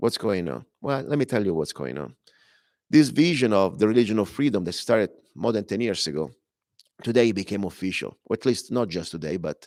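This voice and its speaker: A man with an Italian accent speaks fairly quickly at a fairly low pitch, with vocal fry and very wide pitch swings. The recording is very clean, with a silent background. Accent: Italian accent, noticeable. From Italy. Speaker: radio talk show host and minister. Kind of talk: talk radio monologue. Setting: broadcast from a club temple. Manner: halting, self-correcting.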